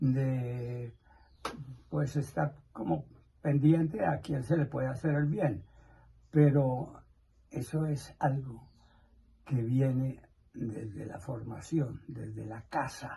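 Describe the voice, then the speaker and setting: A man's somewhat breathy voice with a dark, mellow tone, at a very slow pace with long, frequent pauses. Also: medium pitch for a man, ordinary pitch variation. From Colombia, Nemocón, Cundinamarca. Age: 80s+. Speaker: elderly interviewee. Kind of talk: interview answers.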